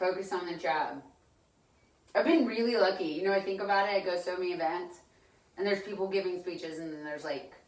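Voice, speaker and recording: Noticeable background noise sits behind a woman of medium pitch with ordinary pitch variation. She talks at a very fast pace, broken by long, frequent pauses. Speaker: voice student. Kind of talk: casual chat. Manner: loud.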